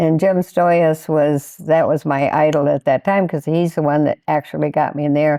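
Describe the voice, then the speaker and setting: With hardly any pauses, a woman speaks in a very deep, low pitch, with a dark, mellow tone and monotone, flat intonation. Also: moderate pace. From Michigan, US Midwest. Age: 80s+. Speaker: skydiver. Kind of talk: interview. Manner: halting.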